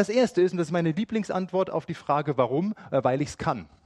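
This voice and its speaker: A man's high voice moves in very wide pitch swings. The sound is dry and close with no echo, over a quiet background. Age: 40s. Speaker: preacher. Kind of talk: sermon.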